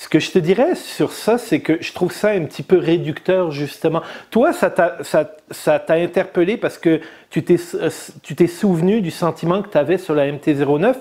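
The recording is very clean, with a silent background. A man with a high pitch and a dark, mellow tone speaks fairly slowly, his pitch varying in an ordinary way. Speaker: motorcycle podcast host. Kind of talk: casual chat. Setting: studio.

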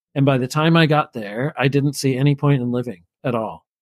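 In a normal speaking voice, a man talks at a moderate pace with a fairly high pitch and fairly even intonation. The sound is dry and close with no echo, and the recording is very clean with a silent background. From New Brunswick, Canada. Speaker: former itinerant minister. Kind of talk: interview storytelling. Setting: podcast interview.

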